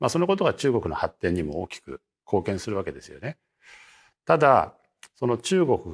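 A man speaks at a moderate pace and medium pitch, with vocal fry, very wide pitch swings and big swings in loudness. Long, frequent pauses break up the speech in a very clean, silent recording with dry, close sound and no echo. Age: 60s. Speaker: market strategist. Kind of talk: interview.

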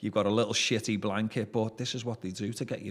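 A man with a Liverpool accent speaks at a very fast pace in monotone, flat intonation. The recording is very clean with a silent background. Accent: Scouse (Liverpool). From Liverpool, England. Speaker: former drug dealer. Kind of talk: interview storytelling. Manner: hesitant with fillers.

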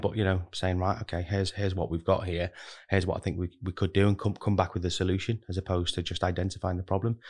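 A man with a very deep, low pitch speaks very fast in a somewhat breathy voice. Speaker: talent and recruitment manager. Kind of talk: interview. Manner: filler-heavy, conversational.

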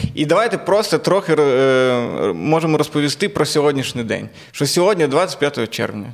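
Here is a man with an ordinary speaking voice, fairly high in pitch and lively in intonation. He keeps a moderate pace on a very clean recording with a silent background. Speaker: comedian and podcast host. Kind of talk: casual chat.

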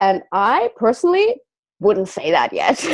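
Her voice fairly high for a woman, she speaks in an animated tone with very wide pitch swings. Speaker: business and mindset coach. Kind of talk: casual interview.

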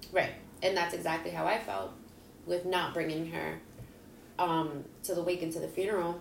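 A woman with a fairly low pitch and ordinary pitch variation speaks at a moderate pace, leaving long, frequent pauses. Audible room echo and noticeable background noise surround her. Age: 30s. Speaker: podcast guest. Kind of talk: casual chat.

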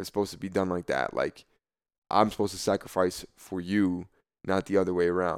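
The recording is very clean, with a silent background. On it, a man speaks with an American accent. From New Jersey. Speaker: former college football player. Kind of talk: interview. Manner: casual, many filler words.

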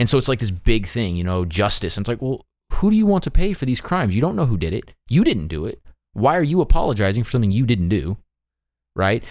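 The recording is very clean, with a silent background. A man with a medium pitch talks very fast in an animated tone, his pitch swinging very widely. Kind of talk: casual chat. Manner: joking, animated.

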